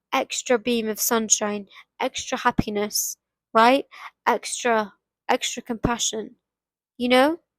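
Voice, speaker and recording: The delivery is fairly slow and fairly even in intonation, broken by long, frequent pauses. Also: woman, high pitch for a woman, dry, close sound with no echo. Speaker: self-help podcaster. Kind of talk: motivational monologue. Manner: repetitive, halting restarts.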